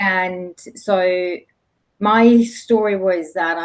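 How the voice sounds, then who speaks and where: A woman speaks with a German accent. Her pitch is fairly low, with ordinary variation. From Germany. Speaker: leadership coach. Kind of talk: interview podcast. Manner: halting.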